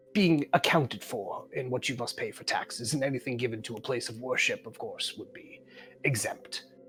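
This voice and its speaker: This is a put-on character voice. It sits at a low-to-middle pitch and moves at a moderate pace. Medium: actual play. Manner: polite, hesitant.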